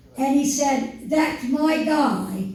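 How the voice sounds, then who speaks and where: Very slow speech with fairly even intonation, audible room echo and noticeable background noise. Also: woman. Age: 80s+. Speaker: retired factory worker speaking at a political event. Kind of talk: speech at a town hall. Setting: town hall with audience.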